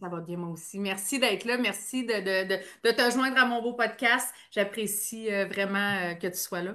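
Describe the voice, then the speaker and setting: A woman's medium-pitched voice, bright and sharp in tone, with ordinary pitch variation at a fairly slow pace. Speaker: podcast host, NLP coach. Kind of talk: podcast interview host.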